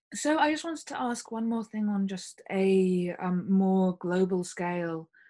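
A fairly slow pace marks the delivery. Its tone is dark and mellow. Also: woman. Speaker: podcast host. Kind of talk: interview. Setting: video call.

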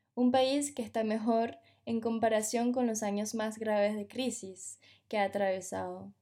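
The recording is very clean with a silent background, and a woman speaks in a dark, mellow tone, fairly high in pitch and monotone, flat in intonation. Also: fairly slow pace. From Venezuela. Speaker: podcast narrator. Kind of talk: scripted narration.

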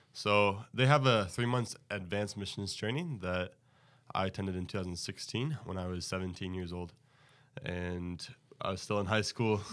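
A normal speaking voice with an American accent, ordinary pitch variation and a moderate pace, on a very clean recording with a silent background. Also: man, fairly low pitch for a man. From Texas. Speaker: missionary. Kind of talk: podcast interview.

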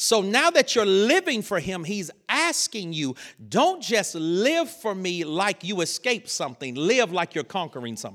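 With a Southern US accent, a man speaks in an animated tone at a high pitch. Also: very clean recording, silent background. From US South, North Carolina. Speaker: preacher. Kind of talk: sermon.

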